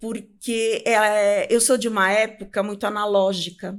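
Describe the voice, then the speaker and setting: A woman speaks fairly slowly on a very clean recording with a silent background. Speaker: public speaking coach. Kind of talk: interview. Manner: talkative.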